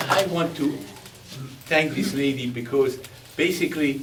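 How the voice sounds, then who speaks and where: A man talks at a moderate pace in a fairly high pitch, with ordinary pitch variation. Background noise is noticeable and the room echo is audible. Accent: Belgian. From Belgium. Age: 80s+. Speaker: war veteran and speaker. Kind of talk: speech at a veterans event.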